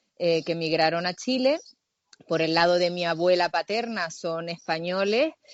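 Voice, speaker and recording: A woman speaks with a Canarian accent at a fairly low pitch. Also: ordinary pitch variation, moderate pace. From Canary Islands, Tenerife. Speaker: actress. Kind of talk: interview.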